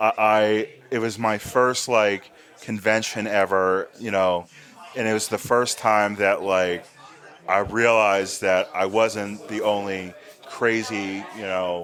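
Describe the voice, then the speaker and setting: Monotone, flat intonation at a very slow pace, over noticeable background noise. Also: man, fairly low pitch for a man. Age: 30s. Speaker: podcast host and horror fan. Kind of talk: casual interview chat.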